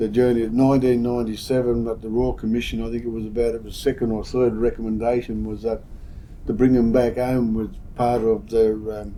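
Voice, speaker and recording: A man speaks fairly quickly at a medium pitch, his intonation monotone and flat. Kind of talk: storytelling, personal recollection.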